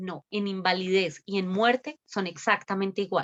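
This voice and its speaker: The sound is dry and close, without any echo. Behind it, the background is quiet. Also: woman. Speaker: lawyer. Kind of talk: webinar Q&A on law. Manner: fast.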